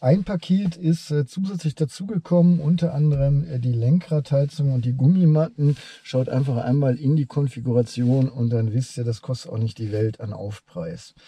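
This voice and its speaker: Recorded dry with no echo, a man speaks in a dark, mellow tone that is somewhat breathy. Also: ordinary pitch variation, moderate pace. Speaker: car reviewer. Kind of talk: review commentary. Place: car.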